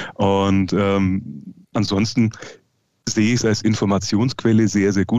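Here a man talks at a moderate pace with a fairly low pitch. His intonation is monotone and flat. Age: 30s. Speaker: private investor and Instagram creator. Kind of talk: casual chat. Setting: video call.

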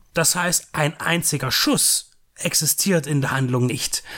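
Recorded very cleanly with a silent background, a man speaks very slowly at a fairly high pitch with ordinary pitch variation. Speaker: podcast host, film reviewer. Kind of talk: casual chat. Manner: halting.

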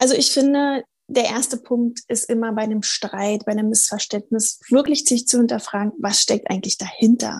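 A woman speaks at a moderate pace in an unremarkable speaking voice, her pitch fairly high and her intonation fairly even. She hardly pauses, and the background is quiet. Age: 40s. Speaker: couples therapist. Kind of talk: casual interview chat.

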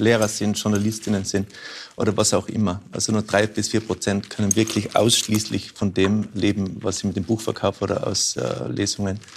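This man speaks with a Tyrolean accent. His voice sits fairly low. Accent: Tyrolean Austrian German. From Tyrol, Austria. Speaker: author and painter. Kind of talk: interview chat.

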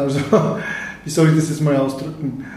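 A man with a Bulgarian accent speaks at a fairly high pitch in a fairly even intonation, with noticeable background noise and audible room echo. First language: Bulgarian (speaking German). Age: 50s. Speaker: neurosurgeon. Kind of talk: interview. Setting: in his office.

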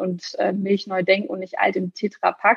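A woman talks at a moderate pace in a medium pitch. Her voice is somewhat breathy. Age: 30s. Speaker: startup founder. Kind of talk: podcast interview. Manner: frequent fillers.

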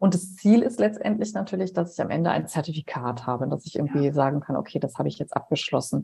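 A woman's very deep, low voice with a dark, mellow tone, vocal fry, very wide pitch swings and a very fast pace. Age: 50s. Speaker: nurse and healthcare startup founder. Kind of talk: podcast interview.

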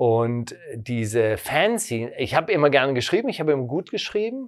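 In a normal speaking voice, a man talks fairly slowly at a medium pitch on a very clean recording with a silent background. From western Germany. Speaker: record label founder. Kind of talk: interview.

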